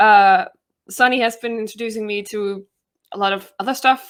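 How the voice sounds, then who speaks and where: Talking at a fairly quick pace, a woman with a Danish accent has a fairly high pitch, in a very clean recording with a silent background. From Denmark. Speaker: YouTuber and trivia competitor. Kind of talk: interview self-introduction.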